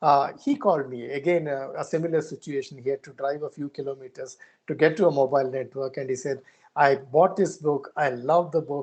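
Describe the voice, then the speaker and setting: The speaker is a man with a Karnataka accent. His pitch sits fairly high. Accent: Indian English, Kannada. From India, Karnataka. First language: Kannada. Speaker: conservationist. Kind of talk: interview. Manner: halting.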